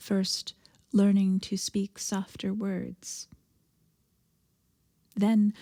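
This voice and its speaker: A woman talks at a very slow pace in a dark, mellow, somewhat breathy voice. The sound is dry and close with no echo, a very clean recording over a silent background. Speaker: minister giving a sermon. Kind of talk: sermon liturgical prayer and reflection.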